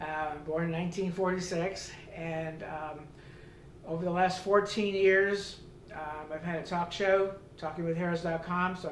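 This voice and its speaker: Against noticeable background noise and audible room echo, a man with a high pitch speaks at a moderate pace in a monotone, flat intonation. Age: 70s. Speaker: customer giving product testimonial. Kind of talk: testimony. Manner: halting, many fillers.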